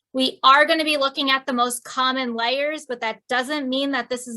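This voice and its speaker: A woman with an American accent projects a raised voice at a high pitch, her tone bright and sharp. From New Jersey. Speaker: sewing instructor. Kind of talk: online class lecture. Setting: video call. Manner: casual with many fillers.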